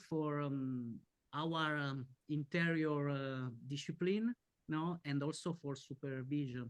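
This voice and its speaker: A man with a fairly high pitch talks at a fairly slow pace. His pitch variation is ordinary, and the background is quiet. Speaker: audience member asking a question. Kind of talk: Q&A question. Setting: online webinar. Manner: halting, hesitant.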